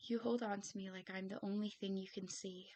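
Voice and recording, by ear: A natural voice, reading aloud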